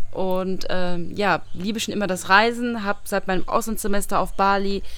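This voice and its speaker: A woman speaks at a fairly quick pace with a medium pitch. Her intonation is monotone and flat. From Saarland, Germany. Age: 20s. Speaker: travel blogger. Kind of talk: casual chat. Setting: outdoors.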